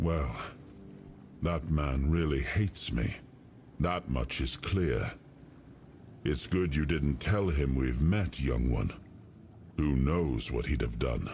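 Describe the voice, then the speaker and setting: Over clear background noise, a man does a put-on character voice, very deep and low, at a fairly slow pace with long, frequent pauses. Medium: video game. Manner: regal, musing.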